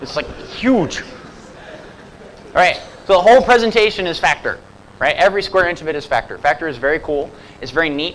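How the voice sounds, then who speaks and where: Over noticeable background noise, a man with an American accent and a high pitch talks at a very fast pace with lively intonation, big swings in loudness, and long, frequent pauses. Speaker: software developer and conference speaker. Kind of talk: conference talk. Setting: stage with audience. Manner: casual, animated.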